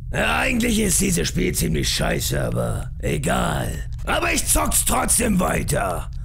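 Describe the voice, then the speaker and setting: A cartoonish character voice at a fairly slow pace, hardly any pauses, over clear background noise. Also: man. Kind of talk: parody dub of animated gameplay. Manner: brash, aggressive, shouting.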